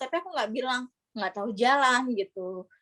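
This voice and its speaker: At a moderate pace, a woman with a high voice speaks in a dry, close sound with no echo. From East Java, Indonesia (Gresik/Surabaya). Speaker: scholarship graduate. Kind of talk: casual interview chat.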